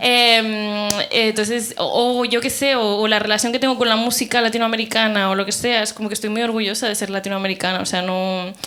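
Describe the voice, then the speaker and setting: Over noticeable background noise, a woman with a fairly high pitch talks at a fairly quick pace in a flat monotone. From Peru (Lima), moved to Barcelona at 11. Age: 30s. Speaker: panel participant, writer. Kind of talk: panel discussion before live audience. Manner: casual, many fillers and self-corrections.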